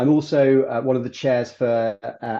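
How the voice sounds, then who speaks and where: Fairly even intonation and a dark, mellow tone come through in a British accent against a quiet background. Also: man. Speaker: recruitment firm executive. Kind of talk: webinar presentation.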